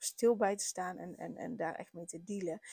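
A woman's dark, mellow tone comes through dry and close, with no echo. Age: 30s. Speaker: podcast host, parenting coach. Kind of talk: personal monologue. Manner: hesitant, many filler words.

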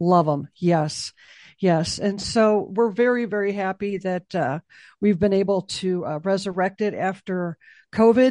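A woman speaks with an American accent in a dark, mellow tone at a fairly slow pace. The sound is dry and close, with no echo. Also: medium pitch for a woman, ordinary pitch variation. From Chicago. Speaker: executive director of a memorial nonprofit. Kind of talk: interview.

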